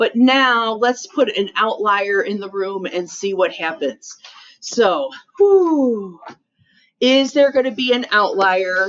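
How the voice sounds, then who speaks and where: A woman speaks at a very slow pace. Her pitch is fairly high, and her intonation is lively. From western New York (Rochester area). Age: 50s. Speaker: high school math teacher. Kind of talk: classroom lecture. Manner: casual, conversational.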